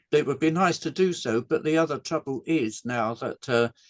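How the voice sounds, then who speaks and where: Fairly slow and fairly high in pitch, a man speaks in a dry, close sound with no echo. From England. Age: 80s+. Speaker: game designer. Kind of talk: interview. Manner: halting.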